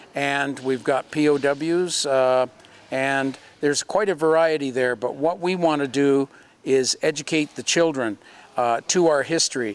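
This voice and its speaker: A man with a Canadian accent has an unremarkable speaking voice at a fairly high pitch. He talks at a fairly slow pace with ordinary pitch variation. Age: 60s. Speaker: museum program co-host. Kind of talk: casual interview chat. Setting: in a museum.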